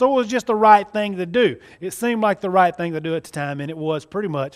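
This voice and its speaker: Animated and high-pitched, a man talks in a Southern US accent. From US South, central Mississippi. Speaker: magician. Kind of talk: testimony. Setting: church.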